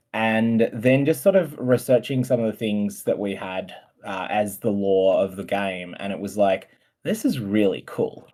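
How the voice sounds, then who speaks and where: A man with an Australian accent speaks at a fairly slow pace in a fairly low voice, his tone dark and mellow. The pitch varies in an ordinary way, and the recording is very clean with a silent background. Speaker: game developer. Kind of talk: casual chat. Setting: live stream.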